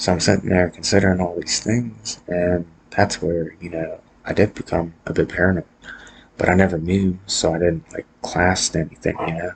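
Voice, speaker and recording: Quiet, monotone, flat delivery at a moderate pace. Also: man, very deep, low pitch for a man. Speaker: vlogger sharing personal mental health story. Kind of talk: personal monologue vlog. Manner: quiet, subdued; hesitant, many fillers.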